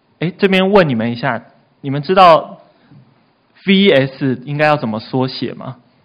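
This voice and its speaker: A man speaks in an animated tone with lively intonation and a fairly high pitch. His pace is fairly slow, broken by long, frequent pauses. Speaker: youth pastor. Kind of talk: sermon.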